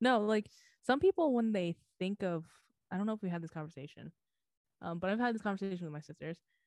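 A woman speaks at a medium pitch with lively intonation and a very fast pace. Her delivery has long, frequent pauses, and the sound is dry and close with no echo. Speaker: podcast co-host. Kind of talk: casual chat.

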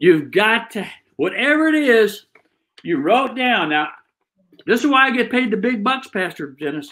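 A man's extremely high-pitched, raised and projected voice, bright and sharp in tone, with very wide pitch swings, a moderate pace and long, frequent pauses. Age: 70s. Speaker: pastor and preacher. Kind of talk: sermon, motivational preaching. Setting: online video message, early morning.

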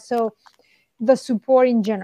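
This is a woman's voice. She speaks with a Spanish accent. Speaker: sports performance director. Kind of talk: interview.

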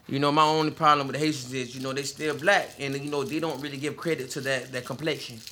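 A fairly high-pitched man with an American accent, very fast and with hardly any pauses, monotone and flat, over noticeable background noise. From Southwest Florida, Lee County. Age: 30s. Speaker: podcast co-host. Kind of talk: casual chat.

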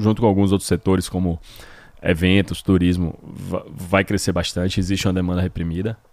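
The speaker talks at a very fast pace in a flat monotone. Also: man. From Brazil, Salvador, Bahia. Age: 30s. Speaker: gym owner. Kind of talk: interview.

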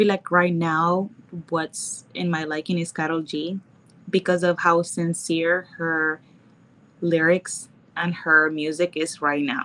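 A woman's fairly low-pitched voice with a Nicaraguan accent, bright and sharp in tone, at a very slow pace and in a monotone, flat intonation. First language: Spanish. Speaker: model and mixologist. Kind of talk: casual chat. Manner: shy, laughs often.

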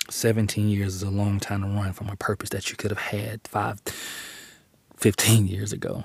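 Somewhat breathy, a man talks at a moderate pace in a fairly low pitch. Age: 40s. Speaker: podcast host and preacher. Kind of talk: sermon-style monologue. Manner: animated.

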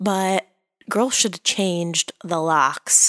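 A soft-spoken woman with a fairly low pitch talks at a fairly slow pace in an enthusiastic tone, her sound dry and close with no echo. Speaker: soap opera recap podcaster. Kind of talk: casual chat. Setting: in bed at home. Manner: soft, muted delivery; enthusiastic, laughs often.

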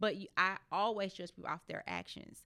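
The voice has an American accent and a bright, sharp tone. Intonation is fairly even, on a very clean recording with a silent background. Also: woman. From US Midwest, St. Louis inner city. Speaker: car salesperson. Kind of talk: casual chat.

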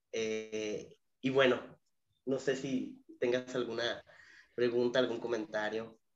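Speaking very slowly with long, frequent pauses, a man with a Mexican accent holds a medium pitch in a flat monotone. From Mexico, Zamora, Michoacán. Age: 30s. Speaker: educational psychologist and university lecturer. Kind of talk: interview conversation.

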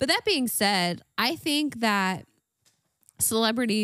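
A woman at a very slow pace, her intonation lively. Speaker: podcast co-host. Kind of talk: casual chat.

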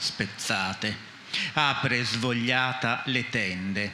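Through audible room echo and noticeable background noise, a man talks at a medium pitch with ordinary pitch variation. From Friuli, Maniago. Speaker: poet and publisher. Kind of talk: poetry reading.

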